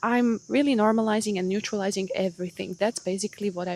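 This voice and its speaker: A fairly quick pace in a non-native accent, with ordinary pitch variation. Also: woman. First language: not English. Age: 30s. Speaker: podcast host. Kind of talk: solo podcast monologue. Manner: casual, animated.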